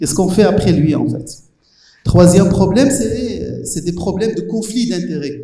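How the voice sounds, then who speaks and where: There is audible room echo around a man's high-pitched voice. His loudness swings widely. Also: ordinary pitch variation, moderate pace. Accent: Moroccan. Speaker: professor. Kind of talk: panel discussion. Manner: halting, many hesitations.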